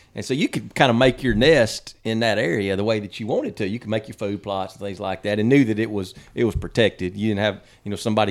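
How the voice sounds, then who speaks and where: Very fast speech in a Mississippi accent, fairly even in intonation, in a very clean recording with a silent background. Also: man. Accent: Southern US (Mississippi). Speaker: hunting podcast co-host. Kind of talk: casual chat.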